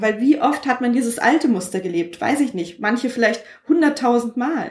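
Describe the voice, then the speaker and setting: With ordinary pitch variation and a somewhat breathy quality, a woman talks at a moderate pace. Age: 30s. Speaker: podcaster. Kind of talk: casual chat.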